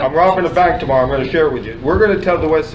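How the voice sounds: Clear background noise sits behind a man whose pitch varies in an ordinary way.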